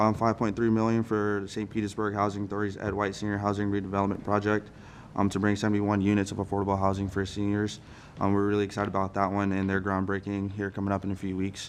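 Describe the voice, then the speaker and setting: The speech runs at a very fast pace. Intonation is monotone and flat. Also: man, fairly low pitch for a man. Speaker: congressional staff member. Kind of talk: interview. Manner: halting.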